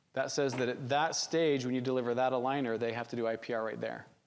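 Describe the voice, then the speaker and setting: This man's voice sits at a medium pitch, with fairly even intonation. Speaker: orthodontics instructor. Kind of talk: lecture. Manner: fast; casual conversational.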